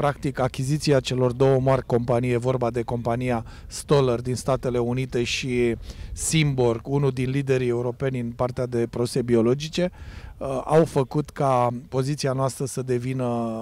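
A man's dark, mellow voice at a moderate pace, flat and monotone, in a dry room with no echo. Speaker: agrochemical research specialist. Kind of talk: interview. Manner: technical. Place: open country. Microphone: handheld.

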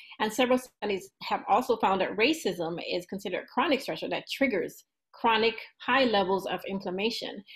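Over a quiet background, a woman with a somewhat breathy, fairly high voice talks at a fairly quick pace with ordinary pitch variation. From Jamaica. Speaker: PhD researcher; candidate. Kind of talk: lecture. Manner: halting. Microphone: webcam.

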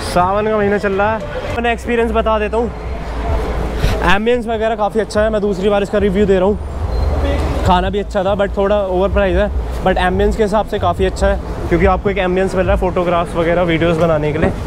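Against crowd noise in the background, a man speaks at a high pitch and fairly quick pace, with fairly even intonation and very even loudness. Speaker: vlogger. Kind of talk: casual vlog chat. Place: street. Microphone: phone near.

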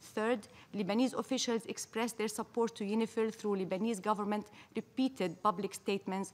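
Fairly even intonation at a fairly quick pace. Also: woman. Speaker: ambassador delivering a statement at the UN Security Council. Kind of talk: formal diplomatic speech read at a UN Security Council debate. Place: hall. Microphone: podium.

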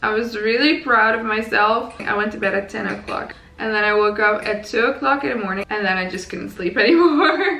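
A raspy woman's voice, bright and sharp, medium in pitch with ordinary variation, at a fairly quick pace amid audible room echo

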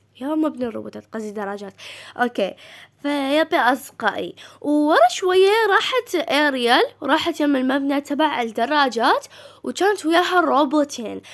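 Speaking with an Iraqi accent, a woman uses a high pitch and lively intonation at a moderate pace. The recording is very clean, with a silent background. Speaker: gaming YouTuber. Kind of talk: casual game news commentary. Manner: halting, frequent self-corrections.

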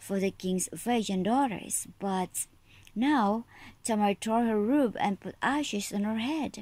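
The text is read aloud in a natural voice, and the pitch varies in an ordinary way.

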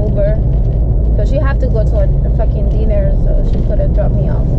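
Loud background noise is heard behind a woman's voice. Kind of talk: casual vlog chat. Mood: frustrated storytelling. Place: car. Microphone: phone near.

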